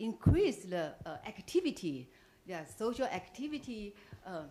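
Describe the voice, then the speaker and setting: Very wide pitch swings at a fairly slow pace. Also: woman. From Taiwan. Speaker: visiting professor. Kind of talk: seminar Q&A question. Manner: halting, many fillers.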